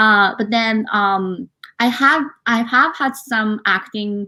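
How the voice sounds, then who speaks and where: A woman's fairly high, bright and sharp voice with a Japanese accent, fairly even intonation, and a very clean recording over a silent background. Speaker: author, actress and model. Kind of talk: interview. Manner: many fillers and hesitations.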